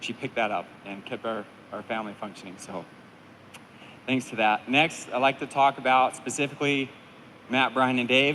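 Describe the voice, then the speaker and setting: Medium pitch for a man, with ordinary pitch variation, a moderate pace, long, frequent pauses and big swings in loudness. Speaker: firefighter being promoted to captain. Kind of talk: speech at ceremony.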